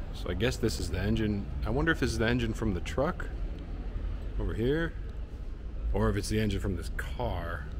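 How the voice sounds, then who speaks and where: A man with an American accent talks at a fairly quick pace. He takes long, frequent pauses over noticeable background noise. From United States, Chicago. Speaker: travel vlogger. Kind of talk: vlog walkthrough. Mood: enthusiastic, curious. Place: hall. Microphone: phone near.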